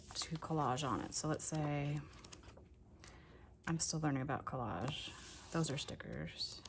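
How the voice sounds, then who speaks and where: Pausing long and often, a woman talks at a fairly slow pace in a very deep, low pitch with ordinary pitch variation and audible room echo. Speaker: crafting youtuber. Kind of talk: casual crafting show-and-tell video.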